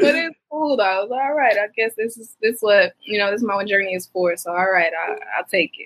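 A woman with an American accent and a normal speaking voice talks at a moderate pace with hardly any pauses, her fairly high pitch carrying lively intonation and big swings in loudness. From Detroit, Michigan. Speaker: singer-songwriter. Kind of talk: interview.

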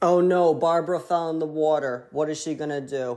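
With an American accent, a man speaks fairly quickly in a dark, mellow tone at a fairly high pitch. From Connecticut, US (East Haven). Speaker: motivational podcaster and energy healer. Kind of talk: motivational monologue. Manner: animated.

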